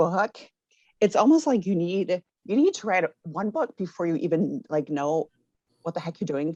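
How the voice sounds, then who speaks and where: A woman with an American accent and a fairly low voice speaks at a moderate pace with lively intonation, in a dry, close sound with no echo. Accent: Minnesota accent, comes out a lot. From Minnesota, US. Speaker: author and education professor. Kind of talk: interview. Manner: halting, many fillers.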